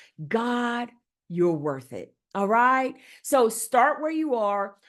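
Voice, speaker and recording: Over a quiet background, a woman with a fairly high voice speaks very slowly with lively intonation. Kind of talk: teaching talk. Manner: animated; loud.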